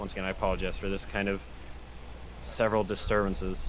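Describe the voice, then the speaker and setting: A man at a very fast pace, with audible room echo. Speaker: streamer playing police officer in roleplay. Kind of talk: roleplay training lecture.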